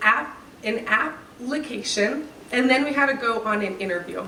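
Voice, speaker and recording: Moderate-speed speech from a woman with a fairly high voice and ordinary pitch variation, plus noticeable background noise and audible room echo. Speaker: graduation speaker.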